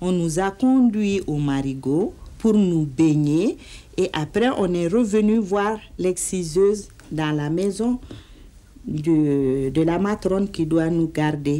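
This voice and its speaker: A woman's dark, mellow tone at a very slow pace, fairly low in pitch with lively intonation. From Mali. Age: 50s. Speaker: anti-excision campaigner. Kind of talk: personal testimony in documentary interview. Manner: hesitant, reflective.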